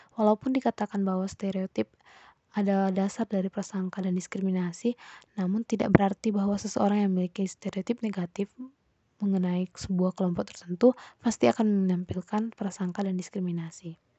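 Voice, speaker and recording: A woman speaks at a fairly quick pace with fairly even intonation and a somewhat breathy voice. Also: medium pitch for a woman. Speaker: psychology student. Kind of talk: class presentation.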